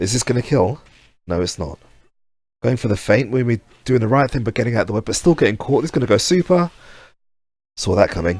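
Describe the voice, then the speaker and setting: A man's somewhat breathy, medium-pitched voice at a very fast pace, with lively intonation, long, frequent pauses and a very clean recording over a silent background. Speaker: esports commentator. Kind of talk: live commentary.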